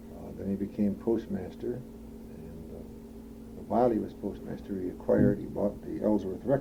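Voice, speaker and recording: Amid audible room echo, a man with an Upper Midwest accent speaks at a very deep, low pitch with very wide pitch swings. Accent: Upper Midwest American. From Madison, Wisconsin. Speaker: oral history interviewee. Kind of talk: oral history interview. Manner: halting, many fillers.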